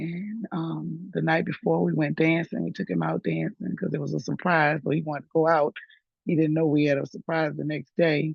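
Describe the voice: In a low voice with vocal fry and a slightly husky edge, a woman speaks at a moderate pace with little pitch movement, the sound dry and close with no echo.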